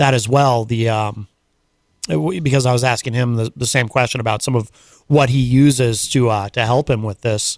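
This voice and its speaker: A man with a plain, everyday voice speaks at a medium pitch and moderate pace, with ordinary pitch variation, in a very clean recording over a silent background. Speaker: radio host. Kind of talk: radio interview questions.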